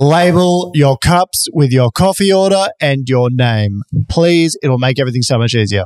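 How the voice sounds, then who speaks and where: A man with an Australian accent speaks at a moderate pace in a fairly high pitch, with lively intonation and very even loudness. The sound is dry and close, with no echo. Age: 30s. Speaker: podcast co-host. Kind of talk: casual chat.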